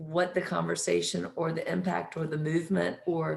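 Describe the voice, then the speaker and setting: The speech comes in a Southern US accent. The pace is fairly slow. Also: woman. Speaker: real estate professional, panelist. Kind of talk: panel discussion.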